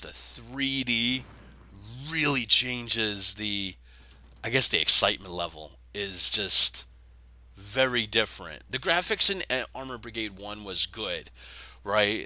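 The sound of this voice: Putting on a raspy character voice, a man speaks fairly low and fairly slowly, with big swings in loudness and long, frequent pauses.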